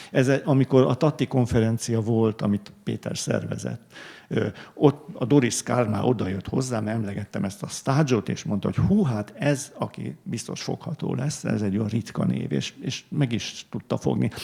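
Against noticeable background noise, a man speaks at a moderate pace in a medium pitch with lively intonation. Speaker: art historian, book author. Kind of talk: panel discussion. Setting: library event with audience. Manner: halting, many fillers.

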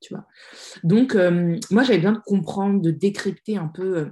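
Somewhat breathy, a woman speaks at a fairly slow pace. Her pitch is medium, with ordinary variation. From France. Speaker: social media strategy consultant and author. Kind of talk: casual interview.

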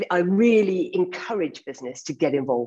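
At a fairly quick pace, an unremarkable speaking voice carries lively intonation. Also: woman. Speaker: environmental campaigner and entrepreneur. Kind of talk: panel discussion. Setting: video call.

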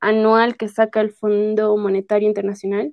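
Here a woman has an unremarkable speaking voice with a fairly high pitch. Her pace is fairly slow. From Bolivia, La Paz. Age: 30s. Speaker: podcast guest. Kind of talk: casual interview.

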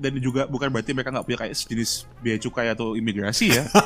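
Pauses barely occur. The delivery is very fast. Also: man. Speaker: podcast guest. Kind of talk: casual chat.

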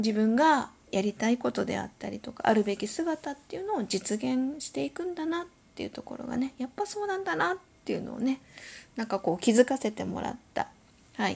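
A high-pitched woman's voice at a fairly quick pace, with very wide pitch swings. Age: 50s. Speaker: podcast host. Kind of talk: solo podcast monologue. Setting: home. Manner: polite, many filler words.

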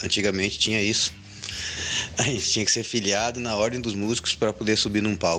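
A man talks with a fairly low pitch. Behind him, music is playing. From Rio Grande do Sul, Brazil (Sapucaia do Sul). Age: 40s. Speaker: musician and cultural venue owner. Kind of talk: interview.

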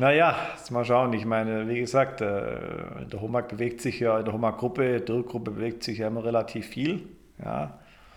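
A man speaks at a moderate pace in a medium-pitched voice. Audible room echo surrounds him. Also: ordinary pitch variation. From Germany. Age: 40s. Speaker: engineer in the timber construction industry. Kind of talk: interview. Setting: studio. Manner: hesitant with fillers.

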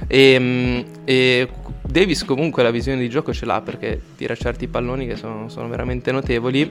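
With music in the background, the man's delivery keeps a moderate pace. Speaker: basketball analyst. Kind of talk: casual chat.

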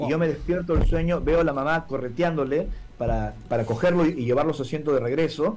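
A man speaks fairly quickly at a fairly high pitch. His pitch varies in an ordinary way, with noticeable background noise behind him. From Peru, Lima. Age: 40s. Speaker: UFO contactee and lecturer. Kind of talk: interview testimony. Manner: formal.

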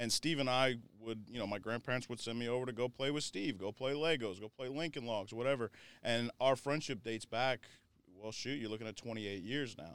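A normal speaking voice with an American accent, ordinary pitch variation and a fairly quick pace. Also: man, medium pitch for a man. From Florida. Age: 30s. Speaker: recovery nonprofit leader. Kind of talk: personal testimony.

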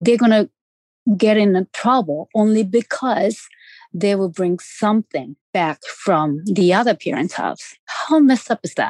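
In a Japanese accent, a woman speaks at a fairly slow pace with lively intonation and a medium pitch. The background is quiet, and the sound is dry and close with no echo. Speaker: parent of an abducted child. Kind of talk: interview testimony. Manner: halting, many fillers.

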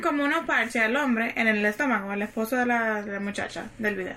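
A woman speaks in a raised, projected voice. Her intonation is lively and her pace moderate. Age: 30s. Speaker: podcast guest. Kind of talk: casual chat.

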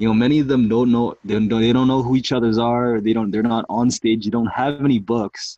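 A man of medium pitch speaks at a fairly quick pace. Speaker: podcast host. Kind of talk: interview. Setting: live video stream. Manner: energetic.

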